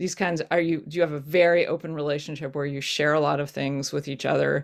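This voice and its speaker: A woman's very deep, low voice with vocal fry at a fairly quick pace, in a very clean recording with a silent background. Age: 60s. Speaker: rabbi. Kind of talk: panel discussion. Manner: halting.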